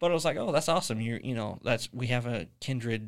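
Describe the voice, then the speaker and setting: A man with a plain, everyday voice, medium pitch and a fairly quick pace, in a very clean recording with a silent background. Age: 20s. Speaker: podcast host. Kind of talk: casual chat.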